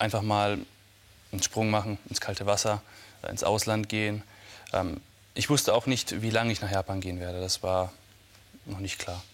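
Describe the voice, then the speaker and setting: Fairly low in pitch, a man speaks with monotone, flat intonation. His speech has long, frequent pauses. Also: moderate pace. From Munich, Bavaria. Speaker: martial arts master. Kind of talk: TV interview. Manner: halting.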